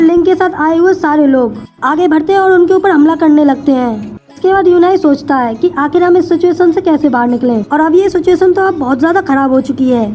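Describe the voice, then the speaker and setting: A woman speaks at a moderate pace in an extremely high pitch, with ordinary pitch variation and very even loudness. Music plays in the background. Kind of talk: anime episode recap narration.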